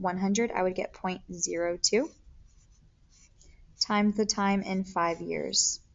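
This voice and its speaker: Her voice sits at a medium pitch, and this woman speaks with monotone, flat intonation. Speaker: math teacher. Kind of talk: tutorial.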